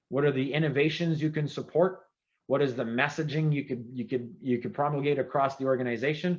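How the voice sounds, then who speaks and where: An animated man with a French-Canadian accent at a fairly quick pace. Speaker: former government CIO, keynote speaker. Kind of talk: keynote speech. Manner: fast.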